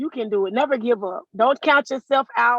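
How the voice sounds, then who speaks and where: A loud woman with a high pitch and a bright, sharp tone speaks with lively intonation in a dry, close sound with no echo. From South Florida. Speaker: motorcycle deputy. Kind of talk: interview.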